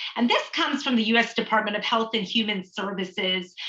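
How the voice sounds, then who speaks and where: The woman's pitch is fairly high. Her tone comes across bright and sharp. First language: Tamil. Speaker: trainer on cultural humility. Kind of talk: online training lecture. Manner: conversational, with many fillers.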